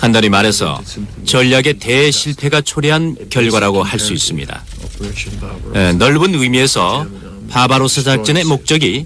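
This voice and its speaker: A man speaks at a fairly slow pace in a medium pitch. His intonation is lively, with noticeable background noise. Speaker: voice actor dubbing a historian interviewee. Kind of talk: interview answer. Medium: dub.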